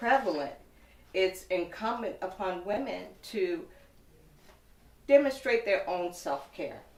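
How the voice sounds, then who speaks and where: Speaking very slowly, a woman takes her time over each word. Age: 60s. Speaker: woman living with HIV, advocate. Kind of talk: testimony. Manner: formal.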